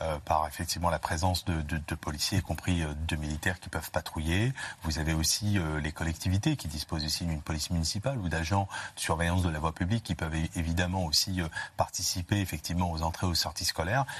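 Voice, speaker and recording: Against a quiet background, a man speaks very fast with fairly even intonation. His very deep, low voice is somewhat breathy. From France, grew up in housing estates. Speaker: security expert, doctor of public law. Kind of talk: live TV panel discussion.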